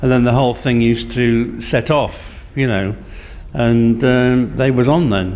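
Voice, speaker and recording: A man with a medium-pitched voice talks at a fairly slow pace, his loudness very even and his intonation fairly even. Room echo is audible, and there is noticeable background noise. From Lincolnshire, England (Cleethorpes). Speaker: community radio volunteer presenter, former DJ. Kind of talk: casual interview chat.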